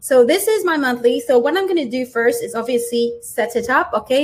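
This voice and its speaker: Moderate pace in a French accent. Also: woman. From France. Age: 40s. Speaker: small business owner and digital planner artist. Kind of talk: live stream tutorial. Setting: livestream with chat.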